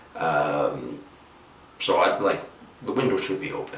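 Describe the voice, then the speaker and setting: Noticeable background noise and audible room echo come with this man's speech. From Ireland. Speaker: YouTuber. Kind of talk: vlog monologue. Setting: at home, window open. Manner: not loud; halting, many fillers.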